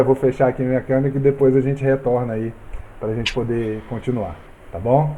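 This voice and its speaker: Medium-pitched male voice at a fairly quick pace, with fairly even intonation and noticeable background noise. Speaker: Bible study teacher. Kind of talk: Bible study lesson over video call.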